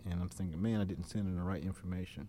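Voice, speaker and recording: Fairly low in pitch, this man's voice carries a dark, mellow tone. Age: 50s. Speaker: son of the deceased giving a eulogy. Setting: church funeral service before a congregation. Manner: halting and repetitive, stumbling on words with frequent uh and restarts; earnest, emotional, rising into a preacherly refrain at the close.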